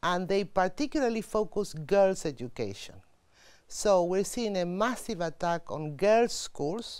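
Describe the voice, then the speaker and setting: The intonation rises and falls in a lively way. It's an ordinary speaking voice. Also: woman, medium pitch for a woman. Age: 60s. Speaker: UN official. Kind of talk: interview.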